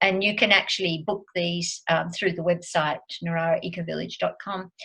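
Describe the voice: A woman with a fairly low pitch speaks at a moderate pace, her bright, sharp tone edged with vocal fry and her intonation fairly even.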